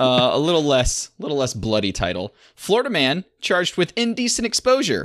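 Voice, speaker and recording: A man with an American accent speaks at a moderate pace and fairly high pitch, swinging very widely in pitch. The sound is dry and close with no echo, over a quiet background. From Michigan. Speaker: podcast host. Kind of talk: casual chat.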